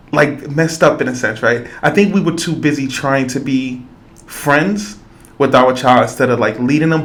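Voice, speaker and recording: With audible room echo, a man talks at a moderate pace and ordinary pitch variation. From New York, the Bronx. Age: 40s. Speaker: podcast host and school youth worker. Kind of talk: podcast interview conversation.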